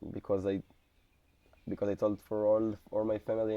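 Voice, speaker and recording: A man with an Israeli accent speaks at a moderate pace. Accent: Israeli Hebrew. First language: Hebrew. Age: 20s. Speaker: soldier. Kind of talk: interview. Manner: halting.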